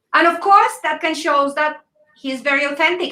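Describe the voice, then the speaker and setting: A woman's high-pitched, raised and projected voice with a Latin American accent, a bright, sharp tone, ordinary pitch variation and a moderate pace. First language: Spanish. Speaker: panel moderator. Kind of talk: moderated panel discussion on video call.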